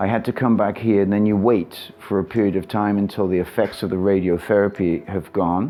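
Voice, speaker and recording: A man with a plain, everyday voice, fairly low in pitch, at a moderate pace and with fairly even intonation. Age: 60s. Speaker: surf coach. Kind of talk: interview answers.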